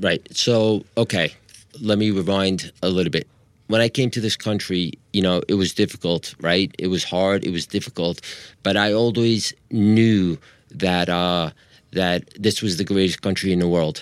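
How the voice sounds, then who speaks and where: Speaking with a New York accent, a man talks at a moderate pace in a very deep, low pitch. His intonation is fairly even, and the recording is very clean with a silent background. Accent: New York American. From Long Island, New York. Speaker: wheelchair athlete guest. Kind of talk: interview.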